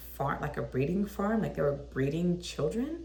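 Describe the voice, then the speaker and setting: An animated woman speaks in a room with audible echo. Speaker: vlogger. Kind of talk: casual chat.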